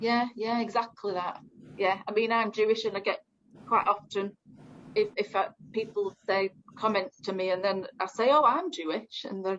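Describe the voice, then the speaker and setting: A woman's fairly high voice in a Northern English accent, with ordinary pitch variation. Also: moderate pace. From northern England. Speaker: community engagement officer. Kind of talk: group discussion. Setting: video call.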